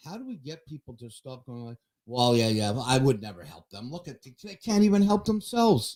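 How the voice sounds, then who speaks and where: Very wide pitch swings and big swings in loudness mark this man's medium-pitched voice. He talks at a fairly quick pace. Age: 60s. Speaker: sports show host. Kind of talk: casual chat. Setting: studio.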